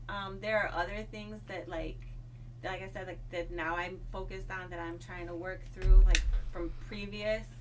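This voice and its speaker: Over noticeable background noise and audible room echo, a woman speaks at a moderate pace, her loudness swinging widely. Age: 40s. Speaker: domestic violence survivor. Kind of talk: interview. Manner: soft-spoken; halting.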